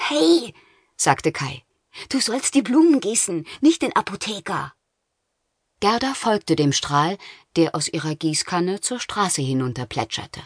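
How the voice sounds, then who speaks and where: A woman's fairly low voice, animated and grumpy, with very wide pitch swings, long and frequent pauses, a fairly slow pace, a quiet background and dry, close sound with no echo. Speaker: audiobook narrator. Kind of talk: audiobook narration of a children's fairy tale, dramatic storytelling. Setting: studio.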